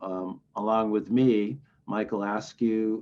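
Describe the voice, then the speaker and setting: A man's voice sits at a fairly low pitch. It has a dark, mellow tone. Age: 60s. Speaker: recovery organization director. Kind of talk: interview.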